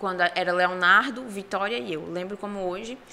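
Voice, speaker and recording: A woman with a northeastern Brazilian accent. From Brazilian Northeast, Ceará and Paraíba. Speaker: oratory contest finalist. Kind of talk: podcast interview.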